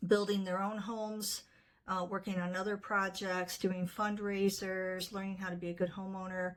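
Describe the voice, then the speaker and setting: A woman talks at a medium pitch in a monotone, flat intonation. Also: moderate pace. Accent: American. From US Midwest, northwest Ohio. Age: 60s. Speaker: nonprofit fundraiser. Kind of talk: casual fundraising appeal to camera. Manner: conversational with fillers.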